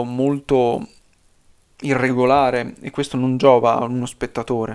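A man's fairly slow delivery with fairly even intonation. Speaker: YouTuber. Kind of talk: unscripted video essay. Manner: stream of consciousness, unedited; halting.

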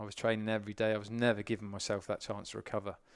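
A man with a British accent and medium pitch, very fast pace, on a very clean recording with a silent background. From UK. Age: 30s. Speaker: endurance swimmer and eco campaigner. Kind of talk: casual interview chat.

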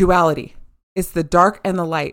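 Speaking fairly quickly, a woman has a plain, everyday voice pitched fairly low. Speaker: intuitive healer. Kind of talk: casual podcast conversation.

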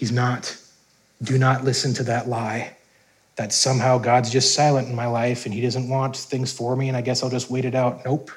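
A somewhat breathy man speaks at a medium pitch in a monotone, flat intonation, with audible room echo. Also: moderate pace. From US Upper Midwest, North Dakota. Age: 30s. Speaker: pastor. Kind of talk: sermon.

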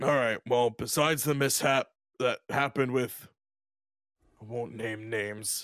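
Using a put-on character voice at medium pitch, a man talks at a moderate pace with fairly even intonation and long, frequent pauses, the sound dry and close with no echo. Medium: actual play. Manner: blunt, businesslike.

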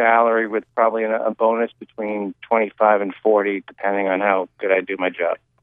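A man speaks at a fairly quick pace with hardly any pauses, his pitch medium. He has a plain, everyday voice. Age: 50s. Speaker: caller. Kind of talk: call-in question.

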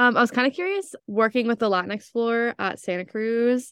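A woman's plain, everyday voice, fairly high in pitch, at a fairly quick pace with ordinary pitch variation, a quiet background, and a dry, close sound with no echo. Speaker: student podcast co-host. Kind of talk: casual chat.

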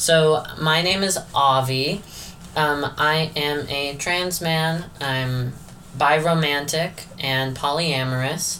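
Speaking very slowly in an American accent, the speaker is heard over noticeable background noise. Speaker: podcast host. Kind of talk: casual chat.

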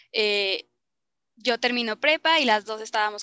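A woman's bright, sharp voice sits fairly high with ordinary pitch variation, recorded with a dry, close sound and no echo. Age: 20s. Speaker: podcast co-host, university student. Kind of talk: casual chat.

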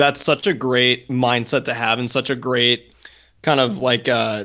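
Recorded very cleanly against a silent background, a man of medium pitch speaks at a moderate pace with a bright, sharp tone, vocal fry and fairly even intonation. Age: 20s. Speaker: podcast co-host. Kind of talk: casual chat.

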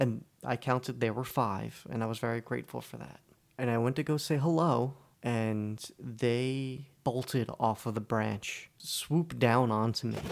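The recording is very clean, with a silent background. A man with a normal speaking voice talks at a medium pitch and a fairly slow pace. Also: ordinary pitch variation. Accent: American. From New Jersey. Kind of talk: scripted narration.

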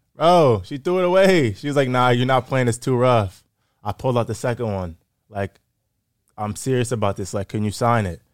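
Very clean with a silent background, the recording carries a plain, everyday voice in an American accent, moving at a fairly quick pace with lively intonation. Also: man, medium pitch for a man. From Massachusetts, Framingham. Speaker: pro football player. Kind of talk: casual interview chat.

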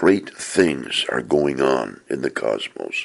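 Very slow speech over noticeable background noise. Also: man. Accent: American. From US Pacific Northwest (Portland, Oregon). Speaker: author and podcaster. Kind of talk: reading aloud from own book.

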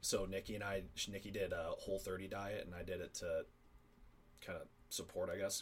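With a Midwestern American accent, a man speaks with long, frequent pauses. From Northern Illinois. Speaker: college athlete and traveler. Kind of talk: casual chat.

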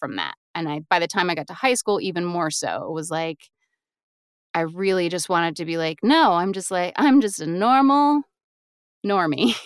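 A woman with an American accent speaks at a moderate pace in an ordinary speaking voice, fairly low in pitch with lively intonation. The recording is very clean, with a silent background and a dry, close sound with no echo. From US South, Raleigh, North Carolina. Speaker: voiceover artist and audiobook narrator. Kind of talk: interview.

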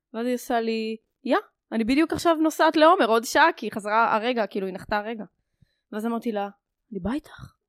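Very fast and fairly high-pitched, a woman speaks with long, frequent pauses in a dry, close sound with no echo. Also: lively intonation. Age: 20s. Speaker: podcast guest, security tech analyst. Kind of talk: casual chat. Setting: home living room.

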